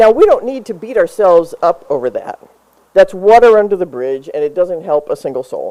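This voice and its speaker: The tone is dark and mellow, with an American accent. Pitch swings very widely. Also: woman, medium pitch for a woman, fairly quick pace. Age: 60s. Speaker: pastor. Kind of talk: sermon.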